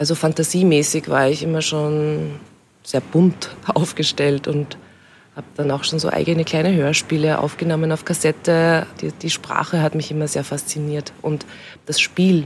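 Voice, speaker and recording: A woman speaks with a very deep, low pitch. Her moderate pace carries monotone, flat intonation. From Austria, Upper Austria (Steyr area). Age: young. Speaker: actress, cabaret artist and radio host. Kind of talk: casual interview chat. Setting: outdoors in a garden.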